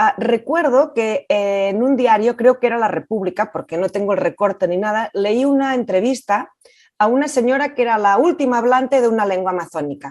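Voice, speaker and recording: A woman with a Catalan accent, fairly high pitch, lively intonation and a fairly quick pace. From Catalonia, Spain. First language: Catalan (speaking Spanish). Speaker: film director. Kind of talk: interview. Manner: hesitant.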